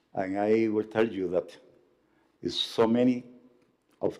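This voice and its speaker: Dark and mellow in tone, this voice is heard here. The intonation is fairly even. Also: man. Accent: Spanish. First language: Spanish. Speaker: pastor. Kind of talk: formal tribute speech. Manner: formal.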